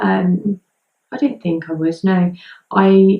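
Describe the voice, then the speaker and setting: The speaker is a woman. She talks with an English accent. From southern England, Hampshire. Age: 20s. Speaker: vlogger. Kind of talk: personal vlog. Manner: hesitant, many ums.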